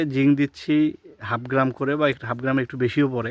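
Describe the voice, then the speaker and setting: With an unremarkable speaking voice, a man talks at a fairly high pitch and with fairly even intonation. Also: dry, close sound with no echo. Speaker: orchard owner and YouTuber. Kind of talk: garden walkthrough tutorial. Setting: outdoors in orchard.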